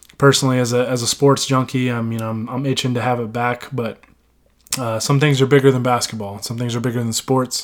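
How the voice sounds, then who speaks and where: At a fairly quick pace, a man talks in a monotone, flat intonation at a medium pitch. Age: 20s. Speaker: sports podcast host. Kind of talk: casual solo podcast monologue. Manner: halting, many fillers.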